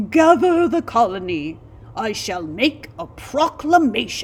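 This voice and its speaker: A female-sounding, put-on character voice at a fairly high pitch moves fairly slowly through very wide pitch swings. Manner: heroic, regal, proclaiming.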